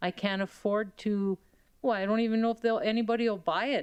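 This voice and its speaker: Against a quiet background, a woman speaks at a fairly high pitch with fairly even intonation. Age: 60s. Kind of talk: public testimony at council meeting.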